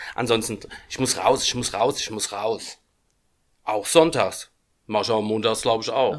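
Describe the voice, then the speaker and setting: A man talks at a moderate pace, leaving long, frequent pauses. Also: medium pitch for a man, fairly even intonation. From Germany, Aschaffenburg (Lower Franconia). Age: 50s. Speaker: band founder and musician. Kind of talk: casual interview chat. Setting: studio.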